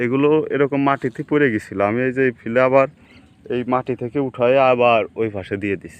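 This man's voice sits at a medium pitch. His intonation stays fairly even. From rural Bangladesh. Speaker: farmer. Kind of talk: casual vlog walkthrough. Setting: outdoors in a field.

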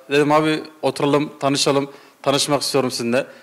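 This man has a fairly high pitch and a monotone, flat intonation. His pace is fairly quick, and the background is quiet. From Konya Ereğli, Turkey. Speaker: football supporter. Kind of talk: casual interview. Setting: supporters' clubhouse. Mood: warm, earnest storytelling. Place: home room. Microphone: handheld.

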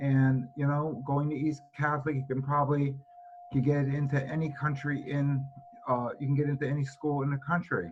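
Speaking with an American accent, a man keeps a monotone, flat intonation at a fairly high pitch. His pace is moderate, with noticeable background noise behind him. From Connecticut. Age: 70s. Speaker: resident speaking at public hearing. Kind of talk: public comment. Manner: halting.

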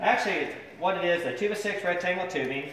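A man's voice with light background noise and audible room echo. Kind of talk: casual explanation of a project. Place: garage. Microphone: phone near.

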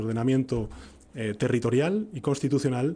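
The speaker is a man with a dark, mellow tone. He keeps a moderate pace. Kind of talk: press conference statement. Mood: serious, formal. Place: hall. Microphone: podium.

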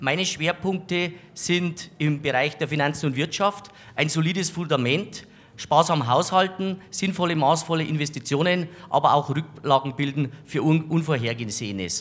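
A man talks in a normal speaking voice at a fairly high pitch. His pace is moderate and his pitch variation ordinary. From Bavaria, Landshut. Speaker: local politician, mayoral candidate. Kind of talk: campaign statement. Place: studio. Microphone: handheld.

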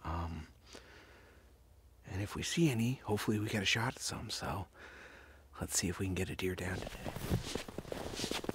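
The man is whispering. At a moderate pace, he takes long pauses often. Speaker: hunter vlogger. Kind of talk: casual vlog chat. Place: forest. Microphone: phone near.

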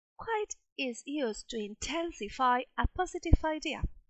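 This woman's voice sits high and swings very widely in pitch. She talks at a moderate pace. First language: Spanish. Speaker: English teacher. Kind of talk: lecture.

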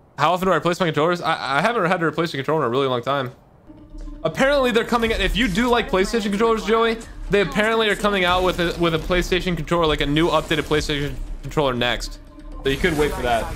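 A high-pitched man talking at a very fast pace over faint music in the background. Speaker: game streamer. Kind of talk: casual live stream chat. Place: home room. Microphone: studio mic.

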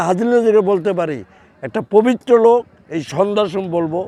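His pitch rises and falls in an ordinary way. The man's voice sits high. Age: 70s. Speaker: freedom fighter, war veteran. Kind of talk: news interview.

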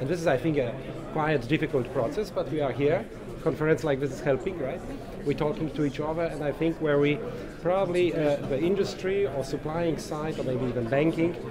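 A man speaks at a fairly quick pace with ordinary pitch variation. Noticeable background noise is present. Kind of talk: interview answer. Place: hall.

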